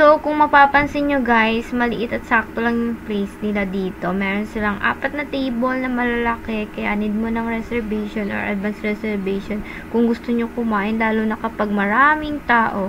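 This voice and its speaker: Over noticeable background noise, a woman with a fairly high pitch talks at a moderate pace with ordinary pitch variation and hardly any pauses. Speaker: food vlogger. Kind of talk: casual vlog narration. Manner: loud; animated.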